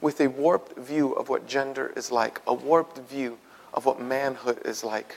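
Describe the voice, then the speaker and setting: At a moderate pace, a man talks in a fairly high voice. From Puerto Rican community, US. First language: Spanish. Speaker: pastor. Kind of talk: sermon. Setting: church. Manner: animated.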